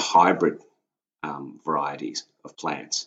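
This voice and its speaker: The speaker is a man. He has an Australian accent. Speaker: sheep farmer, host's husband. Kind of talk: casual chat.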